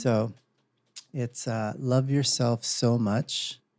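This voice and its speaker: A plain, everyday voice from a man, medium in pitch, with fairly even intonation. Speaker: podcast co-host, parent. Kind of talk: casual podcast talk.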